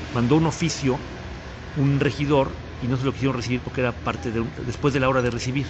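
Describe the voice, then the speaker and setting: Over noticeable background noise and audible room echo, a man at a medium pitch speaks at a very fast pace. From Mexico, Puebla. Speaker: municipal economy and tourism official. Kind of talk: casual interview chat. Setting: café.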